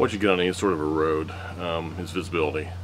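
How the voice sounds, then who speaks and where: A man at a moderate pace, his pitch very deep and low, with noticeable background noise. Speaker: presenter. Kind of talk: tutorial. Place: garden. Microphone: camera far.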